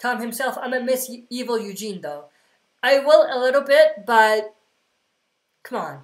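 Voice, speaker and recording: A woman is speaking. Her pace is moderate. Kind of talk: livestream q&a. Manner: casual; mumbling.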